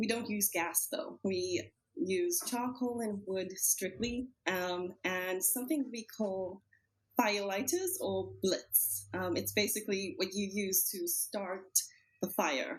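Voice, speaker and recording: Speaking at a very slow pace, a woman uses lively intonation and vocal fry. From South Africa, Cape Town. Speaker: podcast guest, team member. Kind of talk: casual chat.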